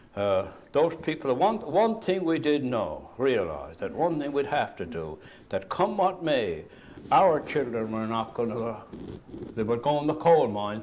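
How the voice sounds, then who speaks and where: A man with a fairly high voice talks fairly slowly, his pitch swinging very widely. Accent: Cape Breton. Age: 70s. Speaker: retired coal miner. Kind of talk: oral history interview. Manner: animated.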